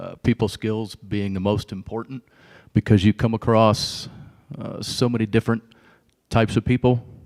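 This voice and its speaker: A man's medium-pitched, monotone, flat voice at a moderate pace, with big swings in loudness, long, frequent pauses, and a very clean recording over a silent background. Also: dry, close sound with no echo. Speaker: school board applicant. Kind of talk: job interview. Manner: halting.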